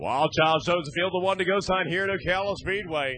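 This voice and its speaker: Raising and projecting his voice, a man talks at a fairly quick pace and high pitch with ordinary pitch variation. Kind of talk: live race commentary.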